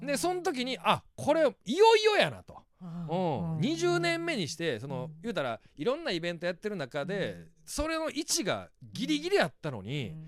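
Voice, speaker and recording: A Kansai accent at a moderate pace with hardly any pauses and big swings in loudness. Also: man. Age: 40s. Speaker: stand-up comedian. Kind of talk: casual chat.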